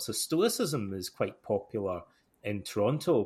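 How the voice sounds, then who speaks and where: A somewhat breathy man's voice, fairly low in pitch, with a Scottish accent. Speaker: podcast host. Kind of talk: casual interview chat. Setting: remote audio call.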